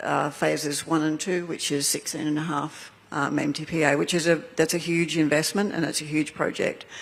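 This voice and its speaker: The speaker has an Australian accent and keeps a moderate pace with hardly any pauses. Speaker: energy company executive. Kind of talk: panel discussion.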